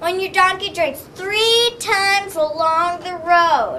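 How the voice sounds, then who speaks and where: A woman uses a put-on character voice at an extremely high pitch, with ordinary pitch variation. She speaks fairly slowly over clear background noise. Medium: read story.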